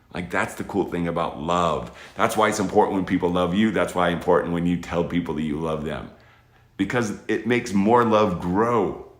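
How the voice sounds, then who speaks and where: A man speaks at a moderate pace with a very deep, low pitch and ordinary variation. Room echo is audible. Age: 50s. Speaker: military veteran and space educator. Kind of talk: motivational talk to children. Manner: casual, conversational, with restarts.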